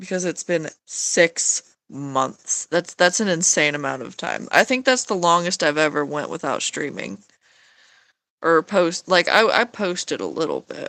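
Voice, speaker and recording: A woman with a fairly low pitch and vocal fry speaks at a fairly slow pace, in a bright, sharp tone with lively intonation. The recording is very clean, with a silent background. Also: dry, close sound with no echo. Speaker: streamer drawing live. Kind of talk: casual live-stream chat while drawing. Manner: hesitant, many fillers and restarts.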